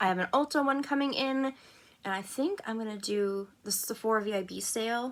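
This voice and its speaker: This woman's voice sits at a fairly high pitch, bright and sharp in tone, with ordinary pitch variation. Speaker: beauty vlogger. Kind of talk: makeup tutorial vlog. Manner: casual, chatty.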